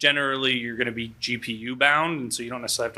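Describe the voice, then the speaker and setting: A very fast man's voice at medium pitch, bright and sharp in tone, with fairly even intonation, on a very clean recording with a silent background. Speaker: conference speaker, tech company CTO. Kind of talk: conference talk.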